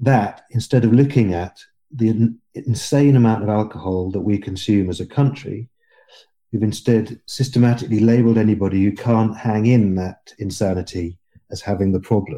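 A man with a dark, mellow tone and a southern English accent. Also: fairly low pitch for a man, ordinary pitch variation, moderate pace, quiet background. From England. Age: 50s. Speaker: podcast guest. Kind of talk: interview. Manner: halting.

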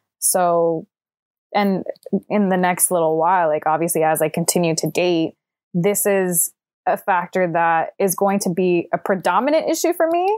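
A woman with a normal speaking voice talks at a moderate pace in a medium pitch, with fairly even intonation and very even loudness. The very clean recording has a silent background and a dry, close sound with no echo. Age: 20s. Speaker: film production worker, relationship podcast guest. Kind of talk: casual interview chat.

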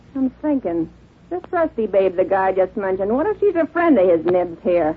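Putting on a gruff character voice, a woman speaks at a medium pitch and a moderate pace with very wide pitch swings. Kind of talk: 1940s radio acting. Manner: gruff, slangy, rough.

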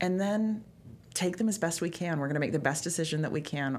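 A woman's fairly quick speech with lively intonation. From British Columbia, Canada. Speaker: financial advisor and entertainer. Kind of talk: casual interview.

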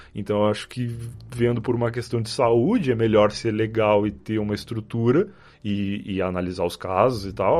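A man talks in an unremarkable speaking voice, fairly low in pitch, with ordinary pitch variation. His pace is moderate and the background is quiet. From Rio Grande do Sul, far south near Uruguay. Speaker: podcaster. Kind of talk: casual chat.

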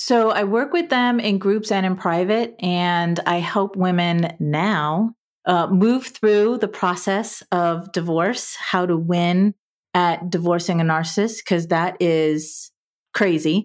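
A woman with an American accent, medium in pitch, very slow in pace and very even in loudness. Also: ordinary pitch variation, very clean recording, silent background. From US South, South Florida. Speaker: divorce coach. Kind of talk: interview, personal story.

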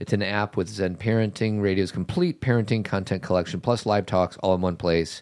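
A man's normal speaking voice, fairly low in pitch, at a fairly quick pace with fairly even intonation and very even loudness. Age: 50s. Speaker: podcast host. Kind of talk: casual chat; ad read.

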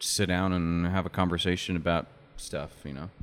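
Music plays in the background as a man with an American accent speaks at a moderate pace. His very deep, low pitch stays flat and monotone. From Utah (Oakley). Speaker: musician and cigar shop owner. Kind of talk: casual interview. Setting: basement studio.

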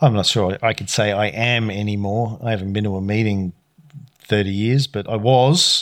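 In a normal speaking voice, a man talks at a moderate pace with fairly even intonation and a fairly low pitch, on a very clean recording with a silent background. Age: 50s. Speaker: podcast co-host, kung fu student. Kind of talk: casual chat; history explainer. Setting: home recording with spouse, drinking tea.

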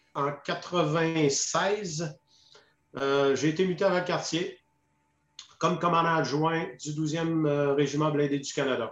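At a very slow pace, a man talks in a fairly high voice. His intonation is fairly even. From Quebec, Saguenay-Lac-Saint-Jean. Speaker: retired army officer, peacekeeping veteran. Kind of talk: interview testimony. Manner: hesitant, many fillers and repetitions.

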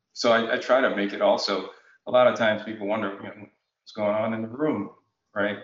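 A man with an American accent, very fast, fairly low-pitched and monotone in a flat way. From Jamaica, then Connecticut. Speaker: utility executive, retired National Guard officer. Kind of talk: interview conversation.

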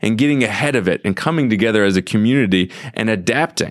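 Fairly quickly and with very wide pitch swings, a man with an American accent talks at a medium pitch in a dry, close sound with no echo. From US Midwest, St. Louis. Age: 30s. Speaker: author. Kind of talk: interview. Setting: studio.

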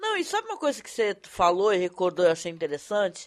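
A woman talks in a medium pitch against a quiet background. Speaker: podcast host. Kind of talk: casual chat. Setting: live stream.

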